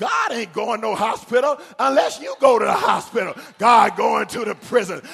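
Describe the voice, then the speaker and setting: A man shouting in an animated tone amid noticeable background noise. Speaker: preacher. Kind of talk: sermon. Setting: church. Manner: animated, rhythmic, exhorting the congregation with call-and-response; emphatic, building with repeated phrases.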